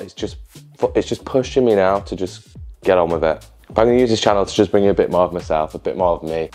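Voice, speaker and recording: Faint music plays behind a man speaking very fast in a Yorkshire accent, his fairly low voice showing ordinary pitch variation. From Yorkshire, England. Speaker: social media content creator. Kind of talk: casual talk to camera. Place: home room. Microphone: lapel.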